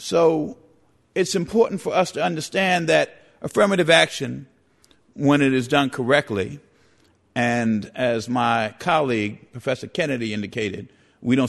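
Talking at a moderate pace with lively intonation, a man has an unremarkable speaking voice at a medium pitch. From New York City, the Bronx. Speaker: civil rights lawyer. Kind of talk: formal debate.

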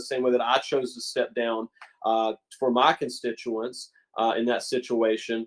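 The speaker is a man. His accent is American. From West Virginia. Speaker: former state legislator. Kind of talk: interview.

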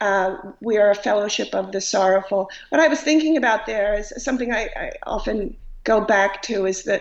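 A woman with an American accent talks at a moderate pace at a medium pitch in a plain, everyday voice. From Long Island, New York. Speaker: writer and humorist. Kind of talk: casual interview. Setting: video call.

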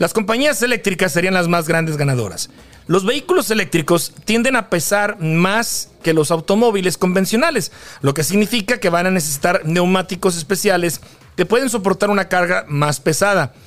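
A high-pitched man speaks at a moderate pace with ordinary pitch variation against noticeable background noise. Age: 40s. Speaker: podcast host. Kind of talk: reading aloud news; casual chat. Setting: studio.

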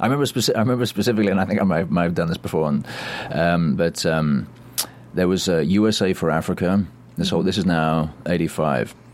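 Over noticeable background noise, the speech comes at a very fast pace with ordinary pitch variation and very even loudness. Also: man, very deep, low pitch for a man. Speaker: actor and voice actor. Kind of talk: casual chat, interview. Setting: studio.

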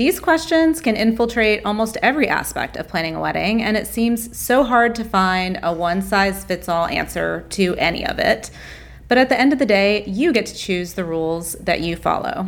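In a plain, everyday voice, a woman talks at a moderate pace with medium pitch and lively intonation. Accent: American. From US South. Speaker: wedding podcast co-host. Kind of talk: casual interview.

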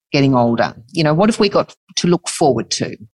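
A woman speaks with an Australian accent and very wide pitch swings. The sound is dry and close, with no echo. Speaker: podcast co-host. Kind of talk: interview.

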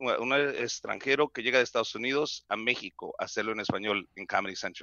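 Moderate in pace, a man talks with fairly even intonation. He has an ordinary speaking voice. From Mexico, Mexicali. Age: 40s. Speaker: comedian. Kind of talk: casual chat.

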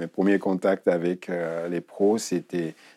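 Very slowly, a man speaks in a very deep, low voice with monotone, flat intonation and a dry, close sound with no echo. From Guinea. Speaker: retired footballer. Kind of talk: interview. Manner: halting.

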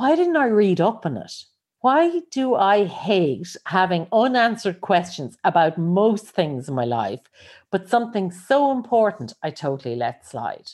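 Speaking at a fairly slow pace with an Irish accent, a woman of medium pitch makes very wide pitch swings. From Ireland. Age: 50s. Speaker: life coach and podcaster. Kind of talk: solo podcast monologue.

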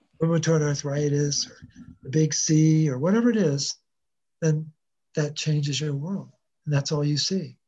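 This man has a fairly high pitch and a dark, mellow tone, a little breathy, talking at a moderate pace with long, frequent pauses. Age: 60s. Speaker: wellness coach, mineral researcher. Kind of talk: interview, health explanation. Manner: energetic, repeats words.

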